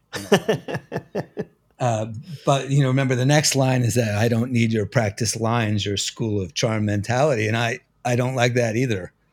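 On a very clean recording with a silent background, a man with a medium pitch talks at a moderate pace, with fairly even intonation and long, frequent pauses. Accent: American. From New Jersey. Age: 50s. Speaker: music magazine editor and drummer. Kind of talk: interview conversation.

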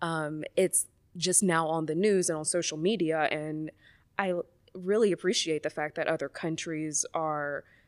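A woman's fairly low-pitched voice in an American accent, a plain, everyday voice at a moderate pace with fairly even intonation, on a very clean recording with a silent background. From US South, Mobile, Alabama. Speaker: psychologist. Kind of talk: casual chat.

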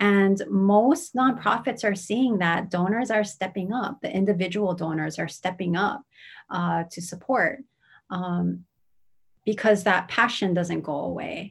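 Ordinary pitch movement in a somewhat breathy delivery. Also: woman, medium pitch for a woman, fairly slow pace, very clean recording, silent background. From Hawaii, Honolulu (Manoa). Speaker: nonprofit consultant. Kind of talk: interview.

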